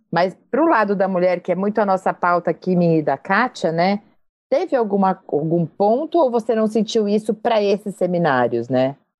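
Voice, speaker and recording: A woman of medium pitch at a moderate pace, with very wide pitch swings and very even loudness. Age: 40s. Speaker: podcast host, journalist and executive. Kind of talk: interview.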